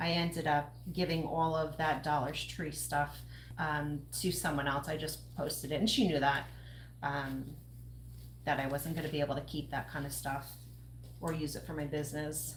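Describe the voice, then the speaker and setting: With audible room echo, a woman with a Long Island accent talks at a moderate pace, leaving long, frequent pauses. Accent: Long Island New York. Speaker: craft tutor and small business owner. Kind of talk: live-stream craft tutorial. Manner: casual, chatty.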